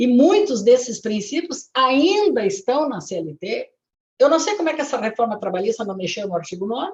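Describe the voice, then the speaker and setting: A woman speaks in a high pitch with very wide pitch swings. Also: moderate pace. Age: 70s. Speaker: retired labour judge and lawyer. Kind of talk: lecture. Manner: halting.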